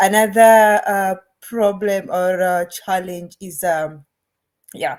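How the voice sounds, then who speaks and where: Speaking at a very slow pace, a woman has a non-native accent. Her pitch is medium and her intonation fairly even. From Kenya. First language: not English. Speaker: online business owner. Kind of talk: casual chat. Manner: halting.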